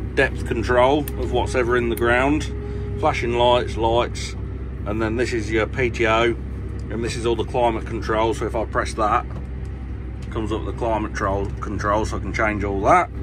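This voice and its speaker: Noticeable background noise is heard as a man speaks at a moderate pace. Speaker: farmer driving tractor. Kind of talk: casual tutorial commentary. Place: farm machine.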